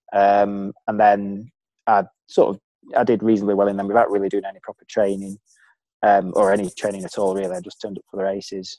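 A man with a Lancashire accent talks very fast in a fairly low, dark, mellow voice with monotone, flat intonation and big swings in loudness. The sound is dry and close with no echo, in a very clean recording with a silent background. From Preston, Lancashire, northern England. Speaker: former elite runner. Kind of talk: casual interview.

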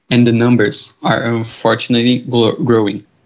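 A man speaks with a Portuguese accent. His pitch is medium. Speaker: podcast host (student role-play). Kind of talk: scripted school podcast.

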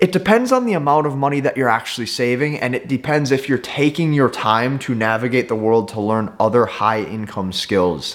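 In a very clean recording with a silent background, a man uses a normal speaking voice at a medium pitch, keeping a moderate pace with hardly any pauses and ordinary pitch variation. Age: 20s. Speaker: entrepreneur and YouTuber. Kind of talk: motivational talk to camera.

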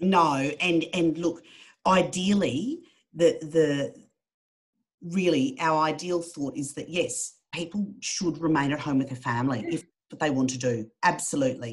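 With an Australian accent, a woman speaks slowly-ish at a fairly slow pace, her pitch very deep and low with ordinary variation. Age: 50s. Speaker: charity worker. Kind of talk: casual chat.

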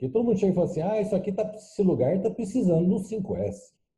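A somewhat breathy male voice, dark and mellow in tone. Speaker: lean management consultant. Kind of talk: casual chat.

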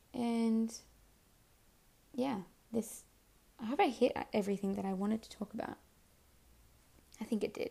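A woman speaks at a fairly slow pace with long, frequent pauses, her fairly high pitch carrying vocal fry, a slightly husky edge, a dark, mellow tone and ordinary pitch variation.

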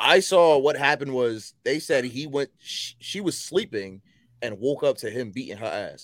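In a very clean recording with a silent background, a man talks at a moderate pace with lively intonation and a fairly high pitch. He has an unremarkable speaking voice. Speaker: podcast host. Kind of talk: casual sports chat. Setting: live stream.

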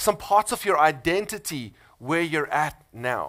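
A bright, sharp tone with lively intonation, in a South African accent, on a very clean recording with a silent background. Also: man. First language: Afrikaans. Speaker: pastor. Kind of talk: sermon. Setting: church.

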